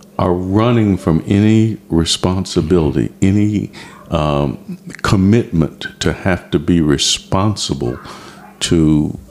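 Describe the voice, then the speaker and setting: Noticeable background noise runs under this man's voice. He speaks very slowly with lively intonation. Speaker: retired television industry worker. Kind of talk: interview.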